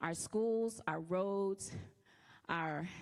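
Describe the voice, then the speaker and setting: With a Louisiana accent and ordinary pitch variation, a woman talks in a very clean recording with a silent background. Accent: southern US, Louisiana. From Louisiana, Lake Charles. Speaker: political candidate. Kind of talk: campaign speech.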